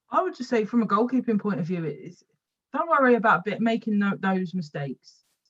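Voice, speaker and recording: Somewhat breathy and in a London accent, a woman talks at a fairly quick pace with very wide pitch swings. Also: medium pitch for a woman. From West London. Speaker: women's football goalkeeper and coach. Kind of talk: podcast interview. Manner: halting, repeats words.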